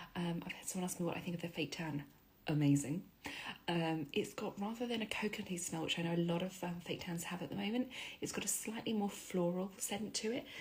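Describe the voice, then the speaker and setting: A woman speaks quietly at a very fast pace, her fairly low, somewhat breathy voice carrying lively intonation. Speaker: beauty influencer. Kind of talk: makeup tutorial. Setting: at home. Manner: chatty.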